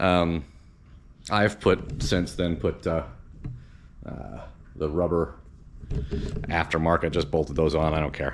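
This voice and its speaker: A man speaks very slowly with a very deep, low pitch, ordinary pitch variation, and long, frequent pauses. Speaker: car DIY vlogger. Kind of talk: casual tutorial. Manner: halting.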